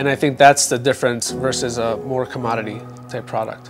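A man talks at a moderate pace. Music comes through clearly in the background. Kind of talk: interview answer. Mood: proud, relaxed. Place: cafe.

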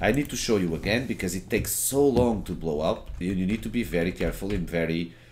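A man with a Portuguese accent speaks at a moderate pace, his intonation lively. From Portugal. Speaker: gaming streamer and tutorial maker. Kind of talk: gameplay tutorial. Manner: informal, filler-heavy.

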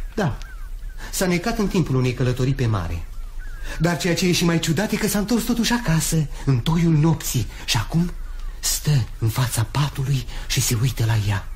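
Light background noise sits behind a man at a moderate pace. His fairly high voice has very wide pitch swings. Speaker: radio drama actor. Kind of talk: radio drama. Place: studio. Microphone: studio mic.

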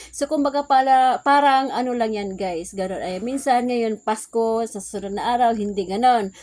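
A woman speaks in a normal speaking voice, fairly high in pitch with ordinary variation, at a moderate pace with hardly any pauses, on a very clean recording with a silent background. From Visayas, Philippines. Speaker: vlogger and sari-sari store owner. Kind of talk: casual vlog talk.

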